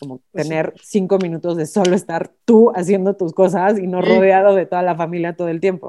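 A woman's medium-pitched voice, dark and mellow in tone, fairly quick with hardly any pauses and fairly even intonation. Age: 30s. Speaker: finance administrator and mother. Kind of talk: casual chat.

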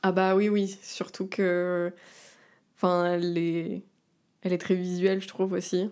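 On a very clean recording with a silent background, a woman at a medium pitch speaks at a fairly slow pace in a monotone, flat way, with long, frequent pauses. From southern France, Var. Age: 30s. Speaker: singer and actress. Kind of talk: casual chat.

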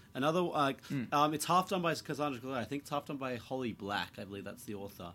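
A fairly high male voice with a New Zealand accent and lively intonation. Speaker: podcast host. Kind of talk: casual chat.

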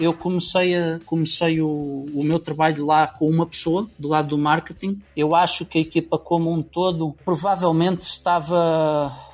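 A man's fairly high, monotone, flat voice at a moderate pace with hardly any pauses, on a very clean recording with a silent background. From Portugal. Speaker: tech marketing executive. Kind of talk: interview.

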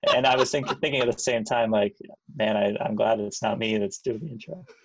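A man with an unremarkable speaking voice talks at a fairly quick pace and medium pitch, with lively intonation. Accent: Canadian. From Hamilton, Ontario, Canada. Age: 30s. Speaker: podcast co-host. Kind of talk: casual chat.

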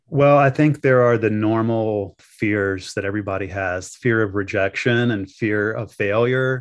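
A man with an American accent has an ordinary speaking voice. His pitch is fairly low, his pace fairly slow, and his pitch variation ordinary. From US South, the Carolinas. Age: 50s. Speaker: wedding officiant and business owner. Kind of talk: interview.

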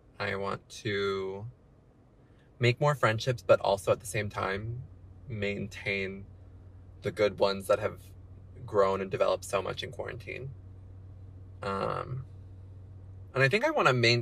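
A man with an American accent speaks at a fairly slow pace, his pitch fairly low. His intonation stays fairly even, broken by long, frequent pauses. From Texas. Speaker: friend of host, former theater actor. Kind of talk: casual chat.

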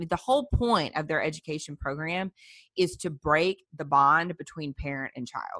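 In a Southern US accent, a woman speaks with a very deep, low pitch and a bright, sharp tone. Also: ordinary pitch variation, moderate pace. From US South, South Louisiana. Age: 30s. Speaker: pro-life activist, former clinic director. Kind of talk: interview.

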